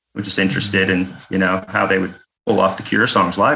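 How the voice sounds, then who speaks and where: The speech comes at a very fast pace in an American accent with a bright, sharp tone. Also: man. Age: 40s. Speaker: death metal bassist and vocalist. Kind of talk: casual chat.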